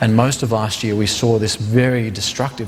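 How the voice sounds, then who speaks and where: Through noticeable background noise, a man speaks in a monotone with flat intonation. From Australia. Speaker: counterinsurgency adviser. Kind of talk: panel discussion.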